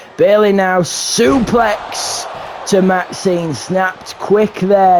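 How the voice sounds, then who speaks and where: Noticeable background noise sits under the recording. A man speaks at a high pitch. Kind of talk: live wrestling show commentary. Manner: energetic, theatrical show-host delivery.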